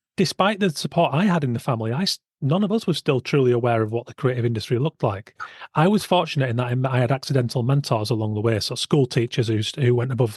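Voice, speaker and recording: Speaking very fast, a man with a Yorkshire accent sounds somewhat breathy at medium pitch. His pitch varies in an ordinary way, and the sound is dry and close with no echo over a quiet background. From West Yorkshire, England. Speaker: podcast host, illustrator. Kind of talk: podcast interview.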